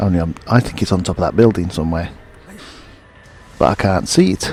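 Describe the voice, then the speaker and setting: A man with a Midlands accent talks at a fairly quick pace in a very deep, low voice over noticeable background noise. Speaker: gaming YouTuber. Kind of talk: gameplay commentary. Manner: casual, rambling.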